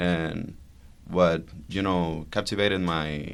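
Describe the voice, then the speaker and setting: The speaker has a Spanish accent and a fairly even intonation. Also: man. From Venezuela. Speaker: psychologist, guest. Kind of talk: casual chat.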